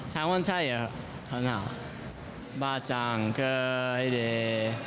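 A man's voice against noticeable background noise. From California, USA. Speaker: tennis player. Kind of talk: interview answer. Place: hall. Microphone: handheld.

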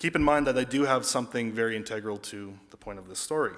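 The voice moves at a fast pace with a fairly bright tone and ordinary pitch variation. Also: man, medium pitch for a man.

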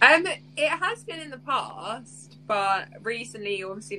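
A woman's voice with light background noise. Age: 30s. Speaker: social media personality. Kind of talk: casual chat. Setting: video call. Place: home room.

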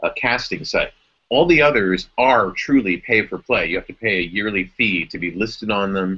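The speaker has an American accent and a moderate pace. The pitch shows ordinary variation. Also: man. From Cleveland, Ohio, USA. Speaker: voice actor and audiobook creator; former radio host. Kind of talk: casual talk to camera, live video chat. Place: home room. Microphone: webcam.

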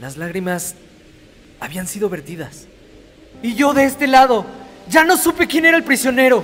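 A man speaks at an extremely high pitch with very wide pitch swings and big swings in loudness. His pace is moderate, with long, frequent pauses, over noticeable background noise. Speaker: voice actor. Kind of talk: dramatic voice-over narration.

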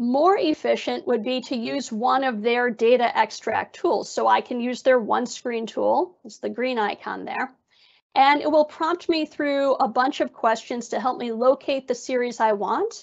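A woman speaks at a high pitch and a fairly slow pace. Her pitch variation is ordinary, with a quiet background. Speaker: data researcher at a government agency; presenter. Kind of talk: slide presentation. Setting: video call. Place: home room. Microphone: earbuds.

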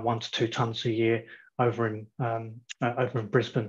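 In a quiet setting, a man speaks at a moderate pace with a somewhat breathy voice. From Australia. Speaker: company CFO. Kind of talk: company presentation. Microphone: video call.

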